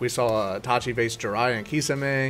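The voice belongs to a man. He uses ordinary pitch variation. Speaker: anime reaction creator. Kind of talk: casual vlog chat. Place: home room. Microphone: studio mic.

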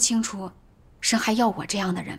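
A somewhat breathy woman's voice, fairly high in pitch, at a moderate pace with ordinary pitch variation. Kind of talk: testimony. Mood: troubled, earnest. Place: home room.

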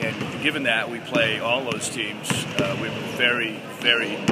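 The speech moves at a fairly slow pace. Loud background noise runs underneath. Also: man. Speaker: high school basketball coach. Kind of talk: interview answer.

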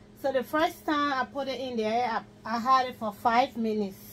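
A woman speaks with a high pitch and fairly even intonation. Light background noise is present. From Liberia. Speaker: home cook video blogger. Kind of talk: cooking tutorial. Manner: casual. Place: kitchen. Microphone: camera far.

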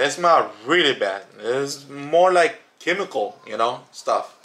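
A man's bright, sharp voice with lively intonation over light background noise. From Chicago, Illinois. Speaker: YouTuber reviewing products. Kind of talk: casual product review. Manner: hesitant, many fillers. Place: home room. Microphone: phone near.

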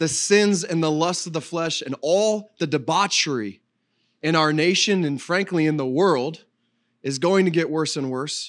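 In a quiet background, a man with a high voice speaks at a moderate pace with ordinary pitch variation. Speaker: pastor. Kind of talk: sermon. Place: church. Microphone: handheld.

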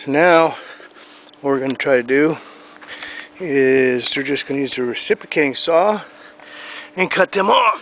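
A man at a moderate pace, with long, frequent pauses, ordinary pitch variation and a dry sound with no echo. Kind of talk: casual vlog chat. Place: garden.

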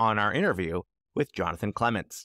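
Against a quiet background with dry sound and no echo, a man talks at a fairly quick pace with lively intonation and a bright, sharp tone. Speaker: podcast host. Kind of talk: podcast announcements and intro.

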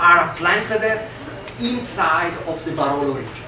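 The speech comes at a fairly slow pace with ordinary pitch variation, against noticeable background noise and audible room echo. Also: man. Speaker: guest. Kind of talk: interview answer. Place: cafe.

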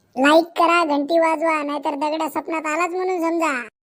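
A woman uses a cartoonish character voice with an extremely high pitch. She talks at a moderate pace in a monotone, flat intonation. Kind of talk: cartoon comedy.

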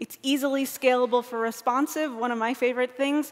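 A woman with a high pitch at a fairly quick pace, against a quiet background. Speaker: conference speaker. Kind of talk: lecture. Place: stage.

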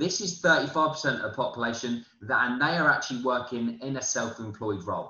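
In a British accent, a man speaks at a moderate pace with a fairly high pitch and lively intonation. Audible room echo surrounds him. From UK. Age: 20s. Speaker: forex trading promoter. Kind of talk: sales pitch. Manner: halting. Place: home room. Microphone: webcam.

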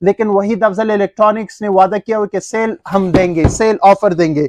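A man speaks fairly slowly at a high pitch, with ordinary pitch variation. The sound is dry with no echo, and the background is quiet. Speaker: shop seller. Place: shop. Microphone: phone near.

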